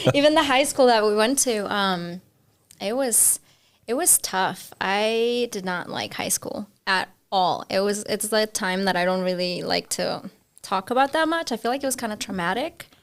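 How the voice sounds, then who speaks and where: The speech has lively intonation and a Spanish accent, on a very clean recording with a silent background. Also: woman, fairly high pitch for a woman, moderate pace. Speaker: podcast guest. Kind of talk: casual chat.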